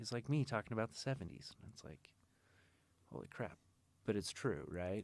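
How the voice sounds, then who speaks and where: With an American accent and vocal fry, the speaker moves at a fairly quick pace, using very wide pitch swings and long, frequent pauses. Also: man, fairly low pitch for a man. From Utah, Salt Lake. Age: 30s. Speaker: interview guest. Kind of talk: casual interview conversation. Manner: casual, halting with fillers.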